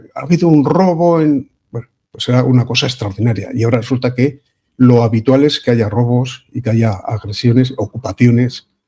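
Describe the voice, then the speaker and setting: This man has a somewhat breathy voice with a dark, mellow tone. He speaks at a medium pitch and a moderate pace, with ordinary pitch variation. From Spain, Vitoria (Basque Country). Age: 70s. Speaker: online radio/video show host. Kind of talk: casual political discussion. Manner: hesitant, with fillers.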